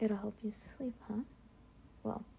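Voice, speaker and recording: Soft-spoken woman with a somewhat breathy, dark and mellow voice at a moderate pace. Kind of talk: girlfriend roleplay talk to listener.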